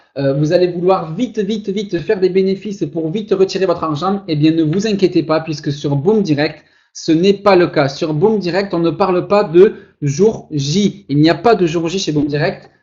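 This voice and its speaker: This man's voice sits high, with ordinary pitch variation. He talks at a moderate pace. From southern France, Toulouse. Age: 20s. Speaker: online marketer. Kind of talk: webinar sales pitch. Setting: webinar. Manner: animated.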